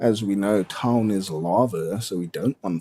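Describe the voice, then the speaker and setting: A man with a South African accent, very deep and low in pitch, with a dark, mellow tone, a fairly slow pace, and a dry, close sound without echo. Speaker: gaming streamer. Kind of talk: casual live stream commentary. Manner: casual, rambling with fillers.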